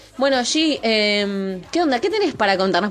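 With a Rioplatense accent, the speaker's pitch swings very widely over noticeable background noise. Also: woman. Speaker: podcast host. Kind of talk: casual chat.

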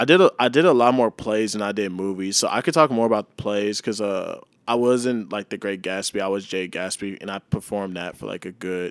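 This man talks at a fairly quick pace with hardly any pauses, in a normal speaking voice. His pitch is fairly low with ordinary variation, and the recording is very clean with a silent background. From Texas, Mansfield near Dallas. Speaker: videographer and former actor. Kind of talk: casual interview chat.

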